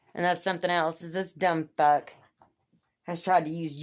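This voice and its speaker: A woman's fairly low-pitched voice on a very clean recording with a silent background. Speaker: vlogger venting about her marriage. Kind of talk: personal rant. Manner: animated; fast, talkative.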